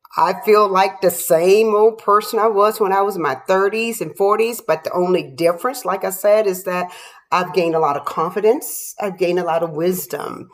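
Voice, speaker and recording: An unremarkable speaking voice at a moderate pace with hardly any pauses and ordinary pitch variation. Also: woman, medium pitch for a woman. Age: 60s. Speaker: lifestyle vlogger. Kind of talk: personal reflection monologue. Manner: casual, conversational with fillers.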